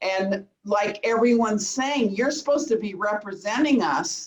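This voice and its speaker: In a Southern Californian accent, a woman speaks at a medium pitch. Her pace is fairly slow and her intonation lively. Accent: Southern California American. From Woodland Hills, Los Angeles. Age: 60s. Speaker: resident asking a question. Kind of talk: public comment at community meeting. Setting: video call.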